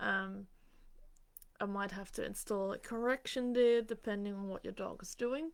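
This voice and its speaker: A woman talks in a normal speaking voice with a medium pitch and ordinary pitch variation. Her pace is moderate, but her loudness swings widely. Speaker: dog trainer. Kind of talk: live Q&A. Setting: livestream. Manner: casual with many fillers.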